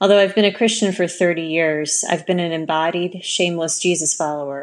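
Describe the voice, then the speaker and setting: Against a quiet background, a woman speaks in an ordinary speaking voice at a moderate pace, fairly low in pitch with fairly even intonation. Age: 30s. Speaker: minister. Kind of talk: testimony.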